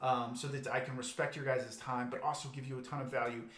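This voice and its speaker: A man talks at a very fast pace in a monotone, flat intonation. Audible room echo surrounds his voice. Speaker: business coach. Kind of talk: live webinar presentation. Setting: livestream video.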